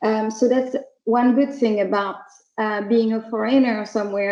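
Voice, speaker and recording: Her voice sits at a fairly high pitch with a slight French accent. The woman speaks at a fairly slow pace. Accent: French accent, slight, still audible. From France. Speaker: startup CEO. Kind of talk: online talk for students. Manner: hesitant, many fillers.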